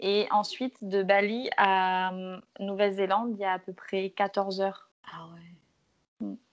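Speaking at a very slow pace with long, frequent pauses, a woman keeps a monotone, flat intonation while her loudness swings widely. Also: medium pitch for a woman. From Martinique. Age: 20s. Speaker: travel Instagrammer and photographer. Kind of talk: casual chat. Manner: hesitant, many fillers.

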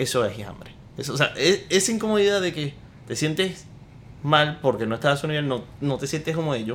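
A man with a normal speaking voice talks at a fairly quick pace, his fairly high pitch carried by lively intonation. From Venezuela (Maracaibo). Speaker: podcast co-host, entrepreneur. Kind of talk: casual chat.

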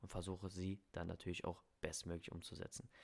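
A man talks at a fairly quick pace. His pitch is very deep and low, and the recording is very clean with a silent background. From Germany. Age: 20s. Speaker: language coach and podcast host. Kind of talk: podcast introduction monologue.

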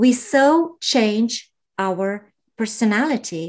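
A woman speaks with a fairly high pitch and ordinary pitch variation against a quiet background. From Slovenia. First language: Slovenian. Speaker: podcaster and life coach. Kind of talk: casual interview.

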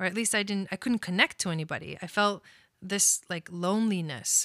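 In a very clean recording with a silent background, a woman speaks at a moderate pace and medium pitch, her tone bright and sharp, the sound dry and close with no echo. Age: 30s. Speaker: podcast host and astrologer. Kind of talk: personal storytelling monologue. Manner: casual, laughs often.

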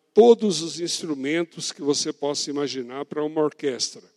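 At a fairly slow pace, a man with a fairly high pitch talks with ordinary pitch variation, the sound dry and close with no echo. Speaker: pastor. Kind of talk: sermon.

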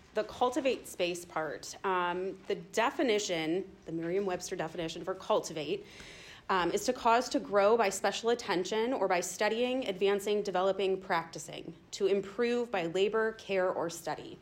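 A woman at medium pitch, with ordinary pitch variation, a moderate pace and audible room echo. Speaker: schoolteacher. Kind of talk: church talk to small group. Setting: church gathering, no microphone. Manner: loud, projecting without microphone.

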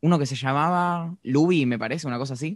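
A man talks at a fairly quick pace in a Rioplatense accent with ordinary pitch variation. The sound is dry and close, with no echo. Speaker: podcast host. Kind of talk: casual chat. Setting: video call.

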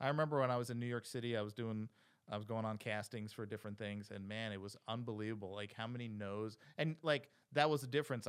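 Here a man with an American accent talks at a fairly quick pace and medium pitch in an unremarkable speaking voice. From New Jersey Shore, small town. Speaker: podcast host. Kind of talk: casual interview.

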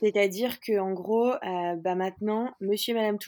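Her voice is dark and mellow, with monotone, flat intonation. The woman's recording is very clean, with a silent background. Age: 20s. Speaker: startup founder. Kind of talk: interview. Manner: hesitant, many fillers.

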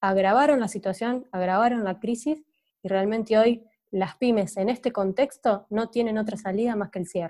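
A woman's fairly high, dark and mellow voice at a moderate pace, with ordinary pitch variation. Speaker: business sector representative. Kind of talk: interview.

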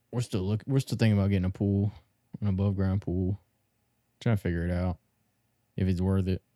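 A man with a dark, mellow tone and fairly low pitch talks at a very fast pace with fairly even intonation and long, frequent pauses, the sound dry and close with no echo. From Maryland. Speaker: podcast co-host. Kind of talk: casual banter, profane. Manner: casual, laid-back, profane.

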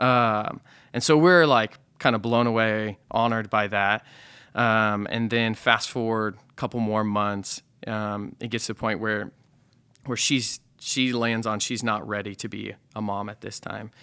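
On a very clean recording with a silent background, a man with a Midwestern American accent talks fairly slowly in a bright, sharp tone, fairly low in pitch and with fairly even intonation. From US Midwest, rural southwest Nebraska. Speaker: pastor. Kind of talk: casual chat.

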